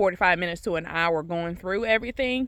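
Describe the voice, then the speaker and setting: A woman talks at a fairly quick pace at a medium pitch with ordinary pitch variation, in a very clean recording with a silent background. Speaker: gardening vlogger. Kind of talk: casual garden tour vlog. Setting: outdoors in garden.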